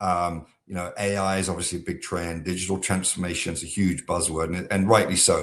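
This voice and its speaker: With an American accent, a man speaks in a very deep, low voice at a fairly quick pace, his intonation monotone and flat, with hardly any pauses. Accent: British accent, now half American. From southeast England. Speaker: software company founder. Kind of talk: podcast interview. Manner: many filler words (um, uh).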